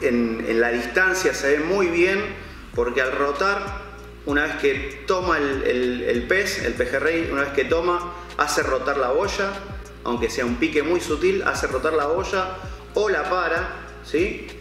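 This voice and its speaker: A man speaks at a fairly slow pace. Faint music plays in the background, and room echo is audible. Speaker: presenter. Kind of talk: product presentation. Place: shop.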